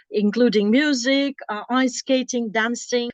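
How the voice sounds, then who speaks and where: A woman with a non-native accent speaks at a high pitch and moderate pace. Music plays in the background, and the sound is dry and close with no echo. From former Soviet Union. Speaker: interviewer and language host. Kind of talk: casual interview. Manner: halting, many fillers and self-corrections.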